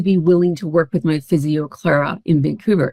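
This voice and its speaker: An unremarkable speaking voice at a fairly quick pace, with ordinary pitch variation and a dry, close sound with no echo. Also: woman. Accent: Canadian. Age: 60s. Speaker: founder and guest on a wellness podcast. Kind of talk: personal testimony in an interview.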